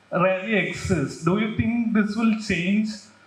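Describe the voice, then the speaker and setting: A man at a fairly slow pace with fairly even intonation, plus noticeable background noise and audible room echo. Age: 20s. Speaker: audience member. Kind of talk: audience question.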